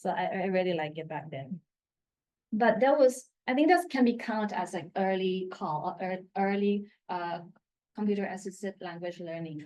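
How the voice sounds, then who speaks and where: Speaking with a Thai accent at a moderate pace, the voice has a dark, mellow tone, ordinary pitch variation and big swings in loudness. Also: woman, medium pitch for a woman. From Thailand, Bangkok. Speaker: assistant professor. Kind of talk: conference talk. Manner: halting.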